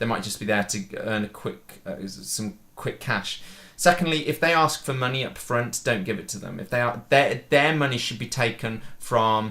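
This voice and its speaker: A man talks at a moderate pace with hardly any pauses, his medium-pitched voice bright and sharp in tone. His pitch varies in an ordinary way, while his loudness swings widely. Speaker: podcast host and filmmaker. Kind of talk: casual chat. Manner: halting.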